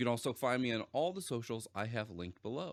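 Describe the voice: This plain reading aloud carries a lively intonation.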